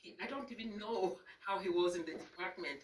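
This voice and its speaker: A woman with a non-native accent speaks at a medium pitch and a fairly quick pace. Noticeable background noise runs underneath. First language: not English. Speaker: librarian giving memorial remarks. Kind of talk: memorial speech. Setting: reception with audience.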